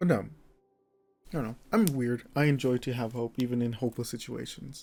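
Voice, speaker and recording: Medium-pitched male voice with a dark, mellow tone, moving at a fairly quick pace. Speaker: streamer. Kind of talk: casual gameplay monologue.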